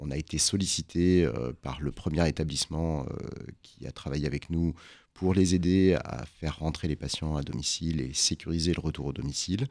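A man with a very deep, low voice talks at a moderate pace with ordinary pitch variation on a very clean recording with a silent background. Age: 40s. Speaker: emergency doctor and company founder. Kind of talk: radio interview.

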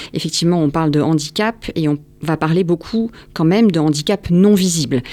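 A woman of fairly low pitch and a dark, mellow tone, at a moderate pace with ordinary pitch variation. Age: 40s. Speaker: founder of a center for neurodivergent children. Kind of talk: radio interview. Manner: hesitant, many fillers.

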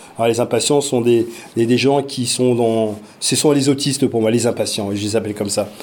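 A man's medium-pitched voice at a fairly quick pace, with fairly even intonation over noticeable background noise. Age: 40s. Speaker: parent and virtual reality project lead. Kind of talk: interview. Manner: hesitant, many fillers.

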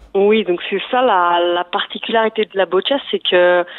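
At a fairly slow pace, a woman of medium pitch speaks with fairly even intonation over noticeable background noise. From Provence-Alpes-Côte d'Azur, France. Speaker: sports federation director. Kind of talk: radio interview.

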